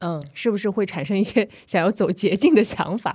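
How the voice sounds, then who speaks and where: Here a woman talks at a moderate pace. The recording is very clean, and the background is silent. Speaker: podcast host. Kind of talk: casual chat.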